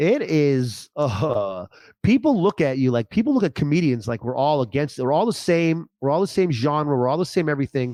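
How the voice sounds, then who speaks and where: Against a quiet background, a man speaks at a moderate pace. His voice has a dark, mellow tone and a fairly high pitch. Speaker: stand-up comedian. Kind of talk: casual chat. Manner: loud; animated.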